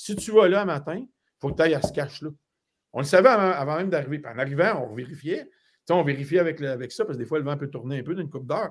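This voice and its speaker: Against a quiet background, a man speaks at a very fast pace. His fairly high pitch carries lively intonation. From Quebec, Laurentides; Quebec. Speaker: hunting guide. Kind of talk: live stream interview. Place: home room.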